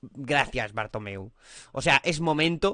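With very wide pitch swings and a bright, sharp tone, a man speaks over a quiet background, the sound dry with no echo. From Spain. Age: 30s. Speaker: football youtuber. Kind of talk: casual commentary vlog. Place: home room. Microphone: studio mic.

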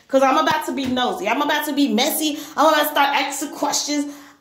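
Her voice is high in pitch. The woman is heard with audible room echo. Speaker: vlogger. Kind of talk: casual vlog chat. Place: bathroom. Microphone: phone near.

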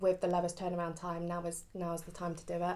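A woman speaks at a fairly quick pace, her pitch fairly low. Her tone is dark and mellow. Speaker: tarot reader. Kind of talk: casual vlog chat. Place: home room. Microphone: phone near.

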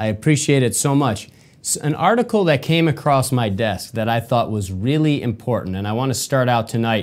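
A man with an American accent speaks at a moderate pace with ordinary pitch variation. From Michigan, US. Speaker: podcast host. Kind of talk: solo commentary monologue. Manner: animated, repetitive. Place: studio.

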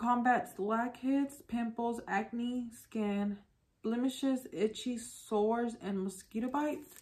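A woman talks at a very slow pace. Her pitch variation is ordinary. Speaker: beauty vlogger. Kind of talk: casual vlog chat. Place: home room.

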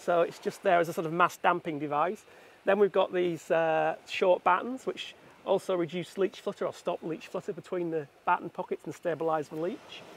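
A man at a high pitch and moderate pace, the sound dry with no echo. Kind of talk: technical explanation. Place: waterside. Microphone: phone near.

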